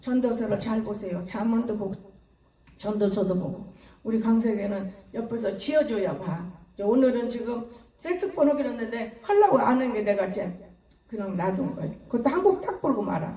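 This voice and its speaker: Amid noticeable background noise and audible room echo, a woman talks at a fairly quick pace in an animated tone with lively intonation. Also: fairly high pitch for a woman. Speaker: pastor. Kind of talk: sermon. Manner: fast.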